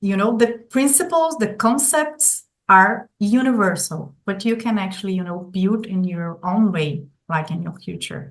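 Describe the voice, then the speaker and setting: With a Brazilian Portuguese accent, a woman speaks at a fairly slow pace in a somewhat breathy, medium-pitched voice with lively intonation. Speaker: golden period educator. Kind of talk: interview. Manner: halting, with fillers and repetitions.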